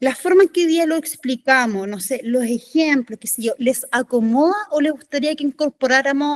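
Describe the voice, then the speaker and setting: The speech is delivered at a moderate pace with lively intonation by a woman. The sound is dry and close, with no echo. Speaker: teacher trainer. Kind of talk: workshop.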